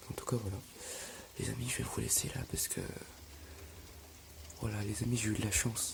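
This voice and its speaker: Someone is whispering. Noticeable background noise and audible room echo are present. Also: man. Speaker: storm chaser vlogger. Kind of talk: live commentary. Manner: halting.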